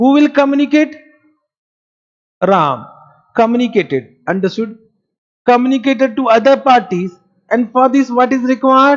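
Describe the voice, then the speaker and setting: With an Indian accent, the speaker moves at a moderate pace and leaves long, frequent pauses. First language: Marwari. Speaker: accounting teacher. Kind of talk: lecture. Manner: animated.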